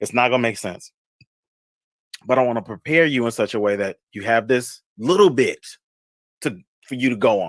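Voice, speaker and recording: A man speaks at a medium pitch with ordinary pitch variation and an animated tone. His speech has long, frequent pauses. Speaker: fragrance vlogger and livestreamer. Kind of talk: casual livestream chat. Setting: livestream video call. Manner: fast.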